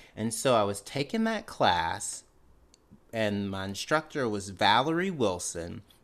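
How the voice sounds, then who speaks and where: A man with a Mississippi accent speaks at a fairly slow pace and medium pitch, with lively intonation. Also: very clean recording, silent background. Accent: Mississippi Southern US. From Mississippi (Canton). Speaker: comedian. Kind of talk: interview.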